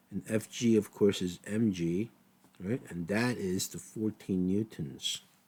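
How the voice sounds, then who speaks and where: With a dark, mellow tone and a fairly low pitch, a man speaks at a fairly slow pace and ordinary pitch variation. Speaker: physics teacher. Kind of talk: tutorial. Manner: casual, conversational.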